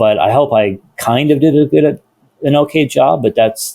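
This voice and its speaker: A man speaks with an American accent at a moderate pace. His fairly high voice has a dark, mellow tone and ordinary pitch variation. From US Pacific Northwest, Seattle. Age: 60s. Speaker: guitar maker. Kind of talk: podcast interview. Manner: halting.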